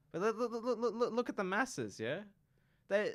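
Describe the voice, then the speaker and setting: A man speaks very fast with an Australian accent. The recording is very clean, with a silent background. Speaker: university student. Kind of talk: casual chat. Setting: radio studio.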